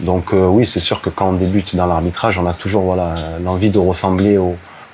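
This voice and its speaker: A man speaks with a very deep, low pitch in a monotone, flat intonation at a fairly slow pace. Noticeable background noise runs underneath. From southern France (Brignoles, Var). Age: 30s. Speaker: football referee. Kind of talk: interview. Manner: hesitant, many fillers.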